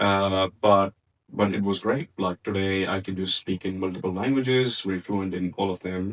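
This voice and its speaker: A man with a strong Punjabi accent, fairly low in pitch, at a moderate pace, with fairly even intonation and a dry, close sound with no echo. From India, Punjab. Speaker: podcast co-host. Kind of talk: casual chat. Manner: many fillers and hesitations.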